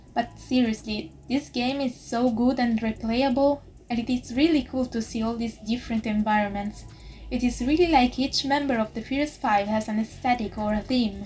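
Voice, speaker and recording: With an Italian accent, a woman talks at a moderate pace in a fairly even intonation. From Italy. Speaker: YouTuber and VTuber reviewer. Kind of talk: scripted review narration. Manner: quiet, not loud. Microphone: poor audio quality.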